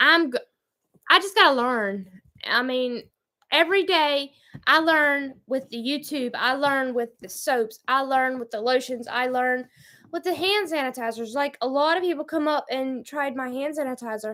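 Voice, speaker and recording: A woman's raised, projected voice in a Southern US accent, high-pitched and bright, sharp in tone, with ordinary pitch variation and a moderate pace. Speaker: homestead vlogger. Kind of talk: livestream chat, reading viewer comments. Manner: halting, stumbling when reading.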